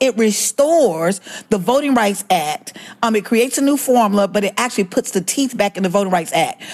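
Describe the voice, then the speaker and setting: Noticeable background noise surrounds a woman with an American accent whose fairly high voice makes very wide pitch swings. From Alabama, US South. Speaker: voting rights activist. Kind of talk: interview.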